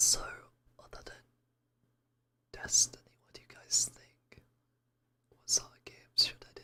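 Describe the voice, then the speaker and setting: A man whispers with long, frequent pauses and big swings in loudness. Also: moderate pace. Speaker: VTuber streamer. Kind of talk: casual livestream chat. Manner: whispered.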